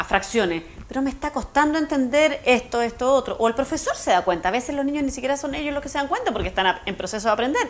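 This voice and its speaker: A woman with a high pitch talks at a very fast pace. Noticeable background noise is present. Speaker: education specialist. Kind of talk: TV interview. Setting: TV studio.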